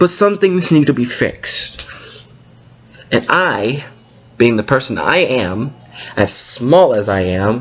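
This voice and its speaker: A loud man's voice with very wide pitch swings and a very slow pace. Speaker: gaming YouTuber. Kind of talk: rant.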